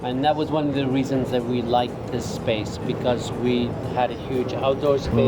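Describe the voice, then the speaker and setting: A man with an American accent, medium-pitched and flat in a monotone, at a moderate pace and very even loudness, with music in the background and audible room echo. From Scotland. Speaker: restaurant owner. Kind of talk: interview about his restaurant. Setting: outdoors on restaurant patio.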